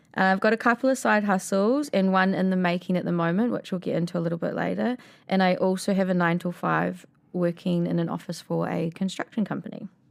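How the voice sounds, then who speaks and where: On a very clean recording with a silent background, a woman with a New Zealand accent talks very fast at a medium pitch. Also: ordinary pitch variation. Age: 30s. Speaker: podcast co-host. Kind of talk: casual chat.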